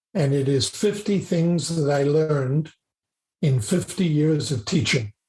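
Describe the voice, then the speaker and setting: Speaking fairly slowly, a man has a fairly high, somewhat breathy voice with a dark, mellow tone, ordinary pitch variation and very even loudness. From South Africa. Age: 70s. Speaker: business professor and mentor. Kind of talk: podcast interview.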